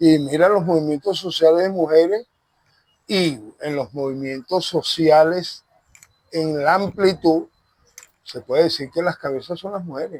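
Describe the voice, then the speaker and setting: A man with a fairly high voice talks at a fairly slow pace, with ordinary pitch variation and long, frequent pauses. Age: 60s. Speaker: Afro-Venezuelan religious leader. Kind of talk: interview. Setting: outdoors in a park.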